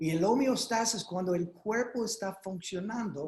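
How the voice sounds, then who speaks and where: A man with an American accent speaks in a high pitch with ordinary pitch variation. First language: English (speaking Spanish). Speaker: doctor speaking at a legal webinar. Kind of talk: webinar presentation. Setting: online video conference. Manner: halting, with fillers and repeats.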